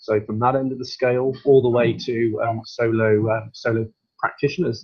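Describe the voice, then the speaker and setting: A somewhat breathy man's voice in a British accent, medium in pitch, with fairly even intonation. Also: moderate pace. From UK. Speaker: barrister, solicitor and mediator. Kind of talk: webinar presentation. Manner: hesitant, many fillers and repeats.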